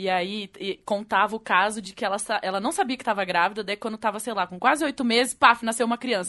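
Bright and sharp in tone, a woman speaks at a very fast pace with ordinary pitch variation. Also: fairly high pitch for a woman. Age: 30s. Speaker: podcast co-host. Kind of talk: casual chat.

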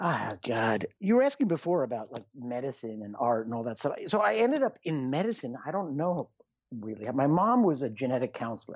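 Against a quiet background, a man with a medium-pitched voice, an ordinary speaking voice, speaks at a fairly quick pace with lively intonation. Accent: American. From New York City area. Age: 50s. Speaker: emergency physician, author and radio host. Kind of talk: casual interview. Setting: Skype call.

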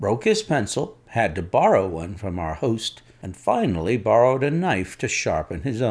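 Text read aloud in a plain way

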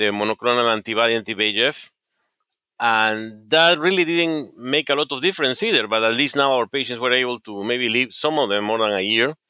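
Speaking at a fairly quick pace, a man with a Spanish accent uses a medium pitch and ordinary pitch variation. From Peru. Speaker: oncologist. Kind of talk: interview. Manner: halting.

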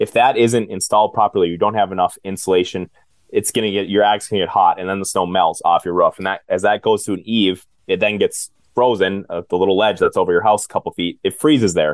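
Very fast speech comes from a man with an Upper Midwest accent. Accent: Upper Midwest American. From central Minnesota, US. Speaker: home maintenance business owner. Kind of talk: interview.

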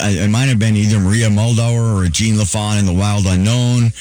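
Speaking in an Upper Midwest accent, a man uses a fairly low pitch, a moderate pace, and fairly even intonation. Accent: Upper Midwest (Minnesota). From Duluth, Minnesota. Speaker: radio DJ and magician. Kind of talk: casual interview.

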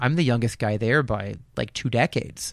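In an ordinary speaking voice, a man talks at a fairly quick pace and medium pitch with ordinary pitch variation. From eastern Pennsylvania, Lehigh Valley. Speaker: podcast host and railroad photographer. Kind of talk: casual chat.

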